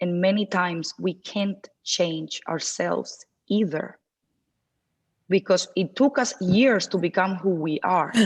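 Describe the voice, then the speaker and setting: A woman's medium-pitched voice at a very slow pace, with ordinary pitch variation. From Cuban background. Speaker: dating coach. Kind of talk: seminar Q&A discussion. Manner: loud.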